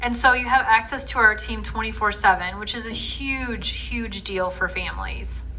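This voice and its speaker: A woman with an American accent at a moderate pace, hardly any pauses, big swings in loudness, audible room echo and noticeable background noise. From northwest Indiana. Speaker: healthcare program representative. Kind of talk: community presentation with Q&A. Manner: casual, conversational with filler words.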